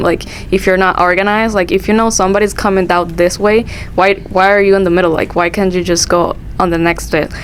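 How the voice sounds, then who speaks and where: Noticeable background noise accompanies a woman's voice. She speaks at a moderate pace and a medium pitch. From Dominican Republic. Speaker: international student. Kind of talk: casual chat.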